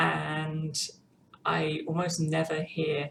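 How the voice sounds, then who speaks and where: A woman speaks with a British accent. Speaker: vlogger. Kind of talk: personal vlog update. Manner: halting, many ums.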